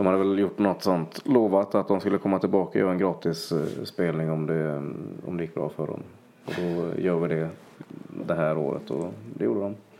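Delivered at a fairly quick pace, the speech carries a dark, mellow tone and ordinary pitch variation. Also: man, very deep, low pitch for a man. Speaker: singer-songwriter. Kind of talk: casual interview chat. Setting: host's living room.

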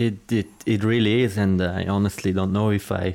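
The speaker has a Swiss German accent. The pace is moderate. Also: man. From Switzerland, Zurich area. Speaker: professional footballer. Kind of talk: interview.

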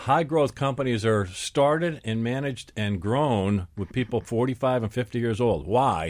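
A man with a normal speaking voice, medium pitch, and lively intonation, at a moderate pace with hardly any pauses, on a very clean recording with a silent background. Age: 50s. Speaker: executive coach and business show host. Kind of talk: radio panel discussion. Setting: radio studio.

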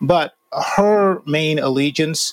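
An American man with a fairly high voice, an unremarkable speaking voice, shows ordinary pitch variation in a dry, close recording with no echo. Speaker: opinion columnist. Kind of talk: casual interview chat.

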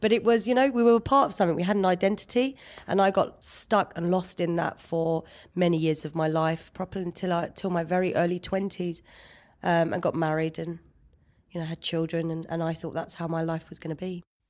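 A woman's fairly low voice at a fairly quick pace with ordinary pitch variation, on a very clean recording with a silent background. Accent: London. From East London, England. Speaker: interview guest sharing personal story. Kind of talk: personal testimony interview.

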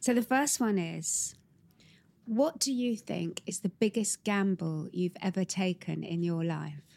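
A woman's medium-pitched voice with an English accent and lively intonation, at a fairly slow pace, with a dry, close sound and no echo. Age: 60s. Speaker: podcast host, brand executive. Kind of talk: interview conversation.

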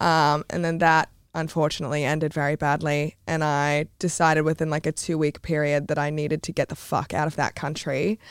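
In an Australian accent, a woman with a very deep, low pitch speaks at a fairly quick pace with hardly any pauses and monotone, flat intonation, recorded in a dry, close sound with no echo on a very clean recording with a silent background. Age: 20s. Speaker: content creator and adult performer. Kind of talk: casual interview chat.

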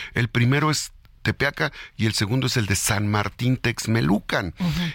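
On a very clean recording with a silent background, the voice has vocal fry and moves at a moderate pace. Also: man. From Mexico, Puebla. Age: 50s. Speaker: politician. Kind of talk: radio interview. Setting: studio.

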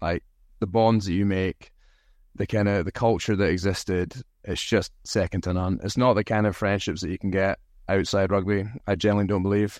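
With a strong Scottish accent, a man talks at a fairly quick pace, his pitch fairly low and his intonation fairly even. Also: quiet background. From Scotland. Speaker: rugby player, national team captain. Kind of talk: podcast interview.

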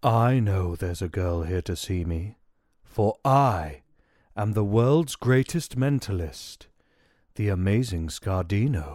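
His pitch is fairly low and his intonation lively. The man keeps a fairly slow pace. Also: very clean recording, silent background. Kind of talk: grand showman melodrama. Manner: grandiose, flirtatious, self-satisfied.

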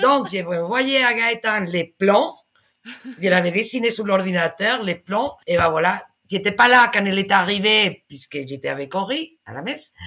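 A woman with a Spanish accent, a bright, sharp tone, lively intonation and a fairly slow pace. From Spain. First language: Spanish (speaking French). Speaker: podcast guest. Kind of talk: casual chat. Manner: halting.

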